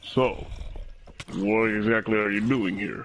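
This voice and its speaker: Putting on a character voice, a man talks at a fairly slow pace in a fairly low pitch with monotone, flat intonation. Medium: actual play.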